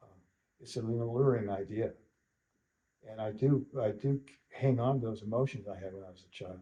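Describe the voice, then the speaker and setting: A man's somewhat breathy, dark, mellow voice at medium pitch and a moderate pace, with fairly even intonation, big swings in loudness and long, frequent pauses. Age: 70s. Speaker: western artist and sculptor. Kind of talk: interview. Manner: halting, many repetitions.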